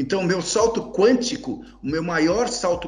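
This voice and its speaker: With audible room echo and noticeable background noise, someone speaks at a fairly slow pace. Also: man. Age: 60s. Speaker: journalist and investor. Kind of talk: interview.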